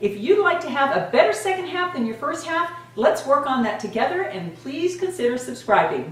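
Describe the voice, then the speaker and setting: A woman's high voice with very wide pitch swings, a fairly quick pace, hardly any pauses, audible room echo, and noticeable background noise. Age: 60s. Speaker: beauty and fitness vlogger. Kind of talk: casual vlog talk to camera. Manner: animated.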